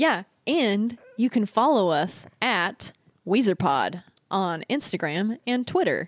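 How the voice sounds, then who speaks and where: Very slowly, a woman speaks with an American accent and very wide pitch swings. The sound is dry and close, with no echo. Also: fairly high pitch for a woman, very even loudness. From Northern California. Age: 30s. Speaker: podcast co-host. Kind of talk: casual chat. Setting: remote recording, different states.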